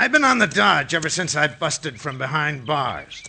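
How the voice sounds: A man puts on a character voice with fairly high pitch and big pitch swings at a moderate pace. His tone is bright and sharp, with vocal fry.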